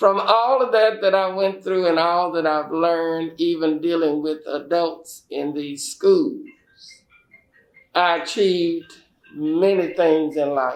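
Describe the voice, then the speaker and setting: Music plays in the background as a man talks at a very slow pace. His pitch is high, with ordinary variation. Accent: American. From Houston, Texas. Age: 70s. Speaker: school principal. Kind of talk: interview.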